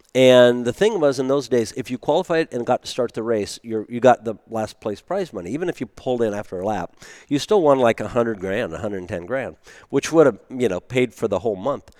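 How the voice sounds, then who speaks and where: A man talks at a fairly quick pace in a medium pitch with lively intonation and an unremarkable speaking voice. The sound is dry and close with no echo, on a very clean recording with a silent background. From US (born in Germany, raised American). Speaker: race car driver. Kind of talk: casual interview. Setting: recorded before a live audience.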